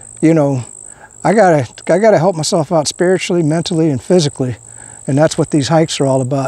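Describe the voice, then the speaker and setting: A man speaks very fast, with a high pitch and lively intonation. The sound is dry, with no echo. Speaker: vlogger. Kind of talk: casual vlog chat. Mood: concerned, earnest. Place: open country.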